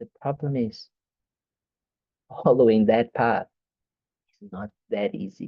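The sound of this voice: The speaker talks at a slow pace with ordinary pitch variation.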